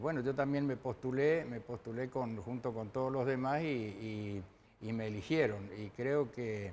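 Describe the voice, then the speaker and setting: A man at a medium pitch, fairly slow pace, ordinary pitch variation. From Argentina, Chaco province (Machagay). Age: 60s. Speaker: retired racing driver. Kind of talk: TV interview. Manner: hesitant, many fillers.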